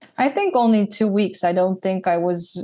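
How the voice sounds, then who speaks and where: Speaking fairly slowly, a woman with a Dutch accent has a dark, mellow tone. The background is quiet. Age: 30s. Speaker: former pro cyclist and content creator. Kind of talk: podcast interview.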